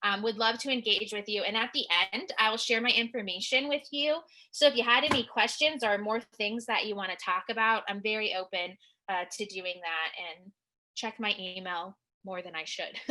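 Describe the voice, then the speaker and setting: A woman speaks loudly at a moderate pace in a fairly high pitch. Her tone is bright and sharp, with ordinary pitch variation. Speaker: licensed clinical social worker, counselor. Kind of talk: webinar presentation. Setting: online webinar.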